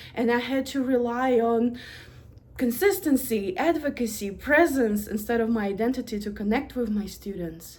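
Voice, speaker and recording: A woman talks at a fairly slow pace in a Russian accent, her pitch fairly high. Her voice is somewhat breathy, with ordinary pitch variation. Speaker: university administrator. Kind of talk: prepared presentation.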